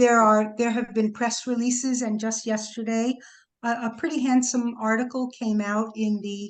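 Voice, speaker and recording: A woman with an American accent speaks at a moderate pace in a fairly high pitch. Her intonation is monotone and flat, and the background is quiet. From New York City. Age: 70s. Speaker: sculpture foundry artisan and archive founder. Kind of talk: interview Q&A. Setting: video call. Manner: casual, hesitant with fillers.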